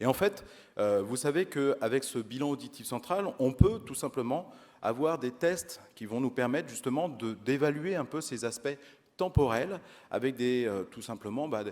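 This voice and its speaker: With a slight Auvergne accent, the speaker uses lively intonation at a fairly slow pace on a very clean recording with a silent background. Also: man, medium pitch for a man. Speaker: audiology researcher. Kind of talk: conference lecture. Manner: hesitant, many fillers.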